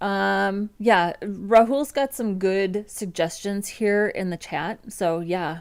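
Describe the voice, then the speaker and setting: Speaking at a very slow pace with a strong Midwestern American accent, a woman uses ordinary pitch variation on a very clean recording with a silent background. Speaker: front-end developer, livestreamer. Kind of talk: casual livestream chat. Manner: casual, with many fillers.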